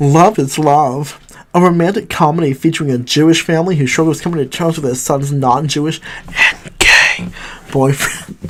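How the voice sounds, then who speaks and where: Noticeable background noise fills the clip. The talking proceeds at a moderate pace. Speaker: movie reviewer. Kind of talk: casual commentary.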